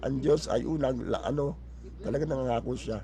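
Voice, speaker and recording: Audible room echo follows this man as he talks fairly quickly. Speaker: pastor. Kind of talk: sermon. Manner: halting, many fillers and restarts.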